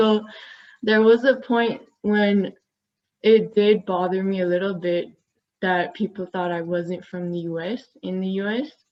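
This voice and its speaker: A woman with a non-native accent speaks fairly slowly at a medium pitch, with fairly even intonation and long, frequent pauses. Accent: noticeable foreign-sounding accent in English. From US, Glendale California (Armenian community). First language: Armenian. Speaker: university student panelist. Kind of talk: panel discussion.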